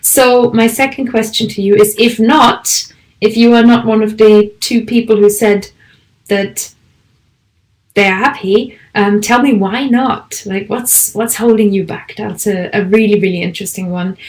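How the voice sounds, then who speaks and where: A woman speaks with a German accent at a fairly high pitch. Her voice is somewhat breathy, with fairly even intonation and a fairly slow pace. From Germany. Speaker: language teacher and podcaster. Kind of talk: online conference presentation.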